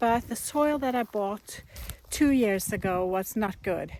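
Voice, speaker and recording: A woman speaks in a Norwegian accent. Her pitch is medium. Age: 50s. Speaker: gardening vlogger. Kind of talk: casual vlog narration. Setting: outdoors in garden.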